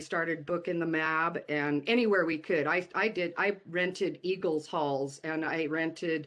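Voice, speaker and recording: Over a quiet background, a woman talks at a fairly slow pace in a fairly low voice with fairly even intonation. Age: 60s. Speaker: music industry veteran, former manager and talent buyer. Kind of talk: interview. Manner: hesitant, many fillers.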